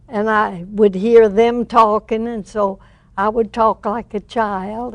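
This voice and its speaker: A woman speaks very slowly in a fairly high voice, her intonation fairly even. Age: 80s+. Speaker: former radio performer and actress. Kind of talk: interview answer. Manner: rambling, chatty.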